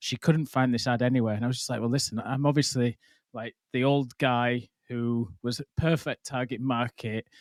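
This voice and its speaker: A man with a northern English accent speaks at a medium pitch and a moderate pace with fairly even intonation. The sound is dry and close with no echo, on a very clean recording with a silent background. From northern England. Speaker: podcast host. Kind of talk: casual interview chat.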